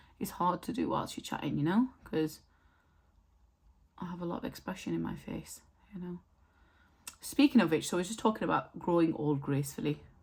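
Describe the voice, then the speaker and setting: With a British accent, a woman speaks at a fairly quick pace and a fairly low pitch, using vocal fry, very wide pitch swings, big swings in loudness and long, frequent pauses. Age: 30s. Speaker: beauty vlogger. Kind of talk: casual chat. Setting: home, filming in front of mirror.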